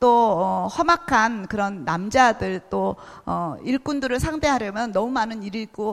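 A woman with an unremarkable speaking voice talks at a fairly high pitch with lively intonation. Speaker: missionary. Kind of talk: sermon. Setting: church.

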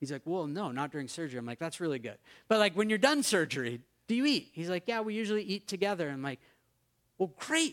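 A man with a New England accent talks at a very fast pace, his pitch swinging very widely. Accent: American (New England). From US Northeast (Maine). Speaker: pastor. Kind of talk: sermon.

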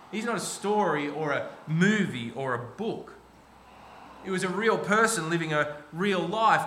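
A man with an Australian accent uses a raised, projected voice at a high pitch, with audible room echo and noticeable background noise. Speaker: pastor. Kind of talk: sermon. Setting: church.

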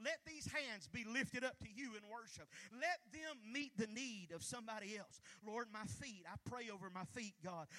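A raised, projected voice at a moderate pace, with lively intonation. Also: man, high pitch for a man. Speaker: pastor. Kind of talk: sermon; fervent prayer, fervent and pleading, spoken aloud to God in a preaching cadence. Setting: church. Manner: fervent, impassioned, repeating phrases with rising intensity.

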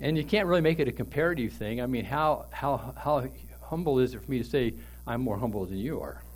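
Some audible room echo surrounds a man speaking at a fairly quick pace. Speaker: pastor. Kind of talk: sermon.

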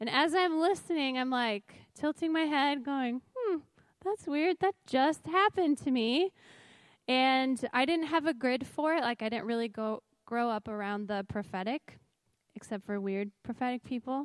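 Her high-pitched voice has lively intonation, and this woman is recorded very cleanly against a silent background, with a dry, close sound and no echo. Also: moderate pace. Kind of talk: testimony. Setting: church stage with audience.

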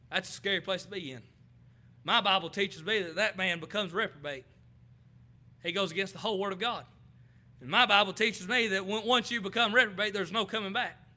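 A man's raised, projected voice with a Southern US accent, high-pitched, bright and sharp in tone, very fast, broken by long, frequent pauses. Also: ordinary pitch variation. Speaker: preacher. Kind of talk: sermon. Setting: church.

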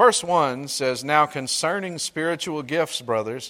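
Speaking with a Mississippi accent, a man has a bright, sharp tone and fairly high pitch. His pace is moderate and his pitch varies in an ordinary way. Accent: Southern US (Mississippi). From US South. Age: 40s. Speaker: pastor. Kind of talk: sermon.

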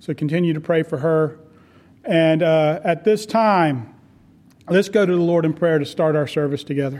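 Ordinary pitch variation marks a man's plain, everyday voice at a moderate pace. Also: fairly high pitch for a man. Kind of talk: pastoral address and prayer. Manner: earnest, warm.

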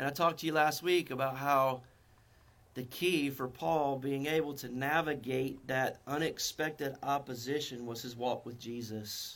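Recorded very cleanly against a silent background, a man with a North Carolina accent speaks at a moderate pace in a fairly high pitch. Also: fairly even intonation. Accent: North Carolina Southern US. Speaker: Baptist pastor. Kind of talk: sermon. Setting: church with congregation.

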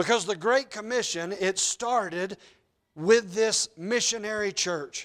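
In a Southern US accent, a man with a high pitch speaks at a fairly slow pace with ordinary pitch variation, on a very clean recording with a silent background. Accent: Southern US (Georgia). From US South, Georgia. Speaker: pastor. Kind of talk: sermon. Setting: church. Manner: loud when excited, toned down.

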